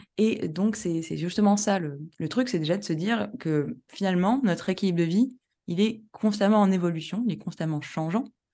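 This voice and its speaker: Against a quiet background, a woman with a dark, mellow tone and medium pitch talks at a moderate pace with lively intonation. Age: 30s. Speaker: professional coach and statistician. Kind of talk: casual interview chat. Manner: hesitant, many fillers.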